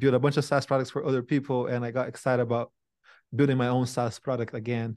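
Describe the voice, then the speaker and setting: Over a quiet background, a man with a Brazilian accent talks at a medium pitch in a monotone, flat intonation. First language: Portuguese. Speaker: tech company CEO and founder. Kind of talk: interview conversation. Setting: video call.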